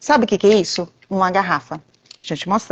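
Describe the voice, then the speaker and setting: A woman speaks softly at a medium pitch. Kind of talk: live stream chat. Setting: video call from event venue. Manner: soft-spoken, speaking quietly.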